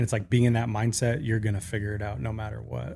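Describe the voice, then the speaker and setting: A man's fairly low, vocal-fry voice at a very fast pace, with ordinary pitch variation. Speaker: podcast host. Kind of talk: casual podcast interview.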